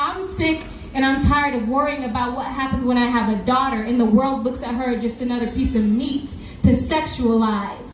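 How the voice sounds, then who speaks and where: A woman with a high pitch talks at a moderate pace amid noticeable background noise and audible room echo. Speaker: protest speaker. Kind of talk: rally speech. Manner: loud; animated.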